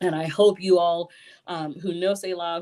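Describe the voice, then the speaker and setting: The speaker is a woman with a fairly low voice. She speaks at a fairly slow pace. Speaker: theatre artistic director. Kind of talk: live-stream announcement. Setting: live stream from home.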